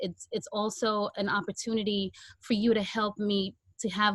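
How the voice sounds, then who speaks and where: A somewhat breathy woman speaks at a fairly slow pace, her sound dry and close with no echo. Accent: Guyanese. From Guyana, then Brooklyn New York. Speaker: podcast host. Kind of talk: Q&A on video call launch party. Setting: video call.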